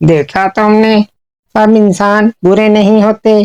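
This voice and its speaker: A female-sounding voice does a cartoonish character voice at a medium pitch for a woman. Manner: calm, reasonable.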